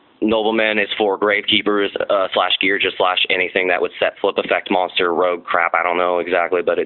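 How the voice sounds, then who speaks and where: Noticeable background noise sits behind a man speaking at a moderate pace in a monotone, flat intonation. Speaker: card game deck reviewer. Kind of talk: casual tutorial monologue. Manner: halting, with many fillers; casual, hesitant.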